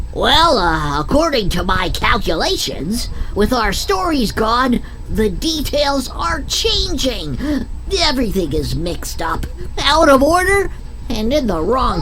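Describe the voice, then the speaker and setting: A female-sounding cartoonish character voice is pitched high. Background noise is clearly present. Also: fairly slow pace. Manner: hesitant, nerdy.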